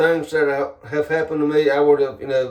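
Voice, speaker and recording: Dark and mellow in tone, the man's voice sits at a fairly high pitch. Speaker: paranormal channel host, Facebook group admin. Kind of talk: casual monologue, channel introduction. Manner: halting, many fillers and restarts.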